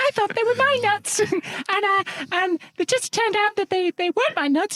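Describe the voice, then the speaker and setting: A man uses a put-on character voice at an extremely high pitch and a moderate pace. The tone sounds nervous. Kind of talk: casual podcast banter. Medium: role play. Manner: nervous, stammering.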